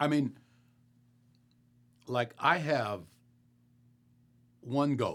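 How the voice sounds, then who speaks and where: The voice has vocal fry. Its pitch varies in an ordinary way. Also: man, medium pitch for a man. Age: 70s. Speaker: pastor. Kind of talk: rant. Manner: animated.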